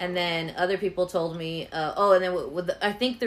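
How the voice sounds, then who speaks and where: A woman with a fairly low pitch talks at a moderate pace. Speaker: podcast host. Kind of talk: casual chat interview. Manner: animated, joking.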